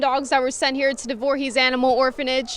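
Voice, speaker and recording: This woman's voice is high-pitched. Noticeable background noise runs under it. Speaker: TV news reporter. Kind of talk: TV news report.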